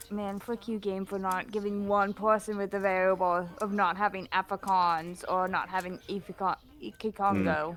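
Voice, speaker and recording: At a moderate pace, a woman talks in a medium-pitched voice with monotone, flat intonation. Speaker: streamer. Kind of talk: casual chat.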